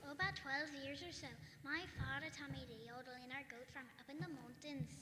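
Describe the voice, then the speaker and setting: A female-sounding put-on character voice runs at a high pitch and a fairly quick pace. Clear echo and clear background noise surround it. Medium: stage play.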